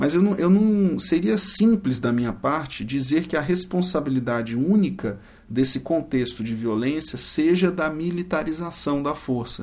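Here is an ordinary speaking voice with lively intonation. The pace is fairly slow. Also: man, fairly high pitch for a man, hardly any pauses. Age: 40s. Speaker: prosecutor and law professor. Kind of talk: interview. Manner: formal.

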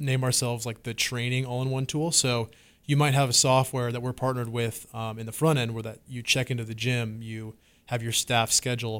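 Speaking with a West Coast accent, a man keeps a medium pitch and a fairly quick pace. His intonation stays monotone and flat. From Washington State. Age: 20s. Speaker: app company founder and CEO. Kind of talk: interview. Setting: studio. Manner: casual, filler-heavy.

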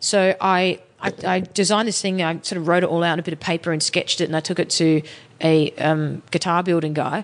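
Speaking fairly quickly, a woman has an Australian accent. Her pitch is fairly low and her intonation fairly even. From Sydney, Australia. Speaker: musician. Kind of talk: casual interview chat. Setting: hotel band room.

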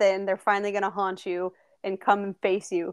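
Against a quiet background, a woman with a plain, everyday voice at medium pitch talks at a fairly quick pace. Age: 20s. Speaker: podcast host. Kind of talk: casual chat.

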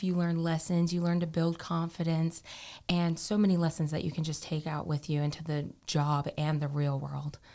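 Speaking with an American accent at a moderate pace, a woman has a fairly low pitch, a dark, mellow tone and monotone, flat intonation, in a very clean recording with a silent background. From coastal North Carolina. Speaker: college student. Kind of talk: casual interview.

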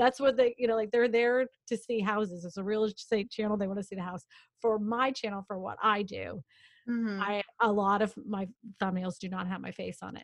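At a fairly quick pace, a woman with a medium pitch speaks with big swings in loudness. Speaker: real estate agent and YouTuber. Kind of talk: casual interview chat. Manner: animated, talks with hands.

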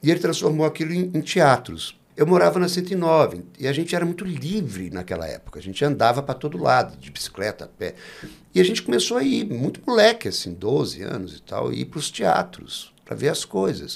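A fairly quick man's voice, fairly high, with vocal fry, very wide pitch swings and big swings in loudness. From Brasília, Brazil. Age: 50s. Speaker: actor and director. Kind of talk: interview.

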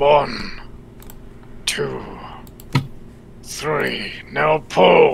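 A man puts on a raspy character voice, with clear background noise behind him. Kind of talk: solemn fantasy speech. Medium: actual play. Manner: formal, no contractions.

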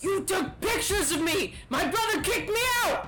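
A put-on character voice speaks at an extremely high pitch and a moderate pace. Light background noise is present. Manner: shouting.

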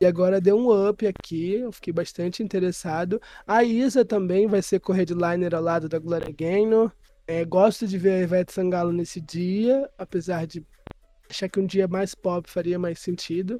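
A woman's dark, mellow tone at medium pitch. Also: fairly even intonation, moderate pace, quiet background. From Nilópolis, Rio de Janeiro. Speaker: podcast host. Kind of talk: casual chat.

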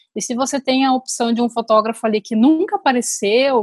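A woman speaks in an ordinary speaking voice, fairly high in pitch, at a moderate pace with ordinary pitch variation. The sound is dry and close, with no echo. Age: 30s. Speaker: photographer. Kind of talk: casual interview.

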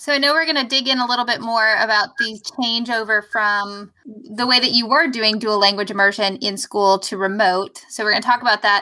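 A woman's fairly high, fairly even voice at a fairly quick pace, an ordinary speaking voice. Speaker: podcast host, former school librarian. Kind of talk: casual chat.

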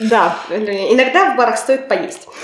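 With lively intonation, this woman talks at a fairly slow pace. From Russia, Kotlas. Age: 20s. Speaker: applied ethics student. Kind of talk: casual chat.

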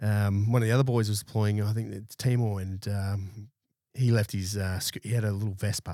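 On a very clean recording with a silent background, a man speaks in a fairly low pitch with fairly even intonation. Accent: Australian. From Brisbane, Australia. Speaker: army veteran and security business owner. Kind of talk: casual interview chat. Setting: studio.

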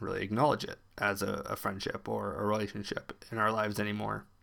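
A fairly low-pitched man talks on a very clean recording with a silent background. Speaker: podcast host. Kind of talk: solo podcast monologue with reading aloud. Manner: slow talker.

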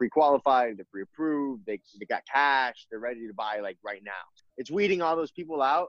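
A man with a plain, everyday voice talks at a fairly quick pace and medium pitch, his intonation lively. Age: 20s. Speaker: realtor. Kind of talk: interview.

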